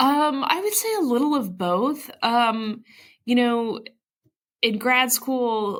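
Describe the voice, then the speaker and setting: A woman does the talking here. Her accent is American. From Ohio, US Midwest. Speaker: actress and puppeteer. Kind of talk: interview. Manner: animated.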